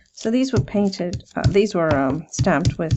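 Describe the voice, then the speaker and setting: A woman's voice with vocal fry. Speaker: ASMR crafting creator. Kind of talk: quiet talk while crafting. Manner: slow; soft-spoken.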